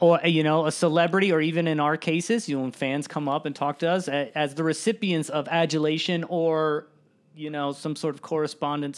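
Here is a man with an ordinary speaking voice at a fairly high pitch. He keeps a moderate pace and fairly even intonation on a very clean recording with a silent background. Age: 30s. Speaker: lighting designer. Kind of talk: casual chat. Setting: studio.

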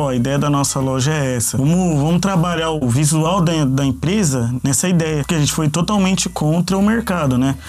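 A man speaks at a fairly quick pace with hardly any pauses, his voice pitched fairly high. His loudness stays very even, pitch varies in an ordinary way, and background noise is noticeable. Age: 20s. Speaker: online shop co-founder. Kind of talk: interview. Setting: studio.

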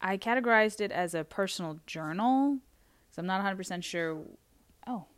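On a very clean recording with a silent background, a woman with a medium pitch speaks at a fairly quick pace with ordinary pitch variation, broken by long, frequent pauses. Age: 20s. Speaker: solo podcast host, dog sitter. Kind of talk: casual solo talk. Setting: house sitting in someone's home. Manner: halting.

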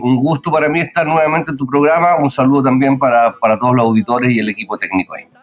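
Over noticeable background noise, a man speaks at a very fast pace with hardly any pauses. His pitch is medium, with ordinary variation. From Chile, Pirque (Santiago area). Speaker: musician, band vocalist. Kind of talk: radio interview.

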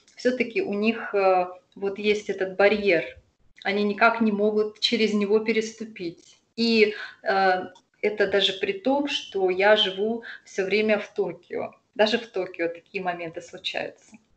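At a fairly slow pace, a woman with an ordinary speaking voice talks in medium pitch with ordinary pitch variation. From Russian Far East, Sakhalin. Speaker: expat local guide. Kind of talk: interview.

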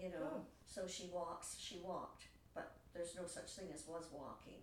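Against noticeable background noise, a woman talks in a fairly low pitch. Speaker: writing group member. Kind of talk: casual chat.

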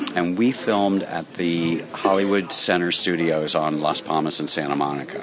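Against noticeable background noise, a man with a very deep, low pitch speaks at a fairly slow pace. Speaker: walking tour owner. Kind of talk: interview, casual. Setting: restaurant interview.

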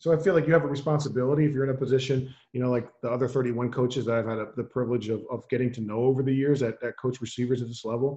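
Talking very fast with hardly any pauses, a man uses a dark, mellow, somewhat breathy voice with fairly even intonation over a quiet background. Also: medium pitch for a man. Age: 40s. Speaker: football coach. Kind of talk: interview.

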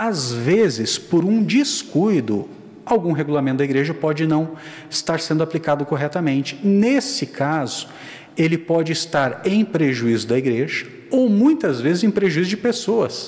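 A man's fairly high voice at a fairly slow pace, with very wide pitch swings and very even loudness. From Rio Grande do Sul, southern Brazil. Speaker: church internal auditor. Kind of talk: casual chat.

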